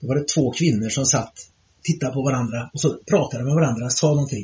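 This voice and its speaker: A man speaks at a fairly high pitch with ordinary variation. His voice is somewhat breathy. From Sweden, Trollhättan. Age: 60s. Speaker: ultramarathon runner. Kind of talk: interview. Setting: summer cottage. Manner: animated.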